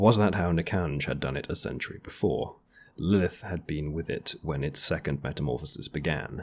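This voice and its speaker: Vocal fry at a moderate pace. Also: man. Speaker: podcast co-host. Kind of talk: casual chat.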